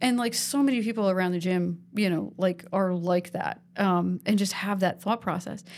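On a very clean recording with a silent background, a woman talks at a medium pitch with ordinary pitch variation and hardly any pauses. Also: moderate pace. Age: 40s. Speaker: podcast host at a gym. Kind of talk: casual interview chat. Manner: halting, many fillers.

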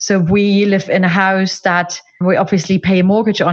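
A woman speaks with a somewhat breathy voice. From East Germany. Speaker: life coach. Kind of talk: interview.

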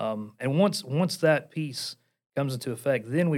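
In a very clean recording with a silent background, a man speaks with an Appalachian accent. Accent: Appalachian, noticeable. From Portland, Tennessee. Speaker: church executive pastor and ministry vice president. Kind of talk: podcast interview.

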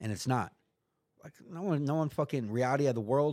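With an American accent and an ordinary speaking voice, a man speaks with lively intonation in a very clean recording with a silent background. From US West, San Diego area. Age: 40s. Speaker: person in addiction recovery, former prisoner. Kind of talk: casual chat.

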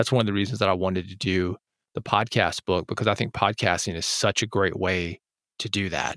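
A plain, everyday voice from a man with an American accent, fairly low pitch, fairly quick pace and fairly even intonation, dry and close with no echo, on a very clean recording with a silent background. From US South. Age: 40s. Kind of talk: interview. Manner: casual.

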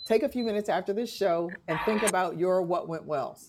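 An unremarkable speaking voice moves at a moderate speed, its pitch varying in an ordinary way. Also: woman. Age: 60s. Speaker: podcast host, relationship educator. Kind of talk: casual chat. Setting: live-streamed audio room with audience.

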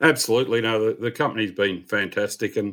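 This very clean recording has a silent background. The speaker has an Australian accent and a fairly quick pace. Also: man. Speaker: airline captain and aviation writer. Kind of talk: podcast interview.

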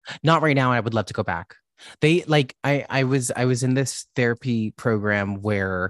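An animated man at a moderate pace with ordinary pitch variation, dry and close with no echo, against a quiet background. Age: 30s. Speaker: drag queen and comedian. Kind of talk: casual chat. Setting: video call.

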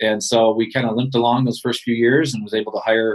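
The speaker is a man with an American accent. His voice has a medium pitch. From Michigan (Ludington). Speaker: outdoor TV show host and producer. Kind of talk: interview.

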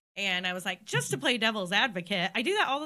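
Captured in a very clean recording with a silent background, a woman with an American accent speaks in a bright, sharp tone with very wide pitch swings. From northeast Ohio, US (Painesville). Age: 30s. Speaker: stand-up comedian. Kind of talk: casual chat.

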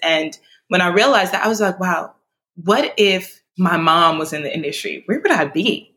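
A woman's medium-pitched voice in an American accent, bright and sharp in tone, with ordinary pitch variation at a moderate pace. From New York City (Brooklyn and Queens), Nigerian parents. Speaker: media marketing professional and nonprofit founder. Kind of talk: interview.

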